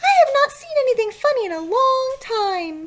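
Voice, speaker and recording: This is a put-on character voice at an extremely high pitch. It sounds squeaky. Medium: read story.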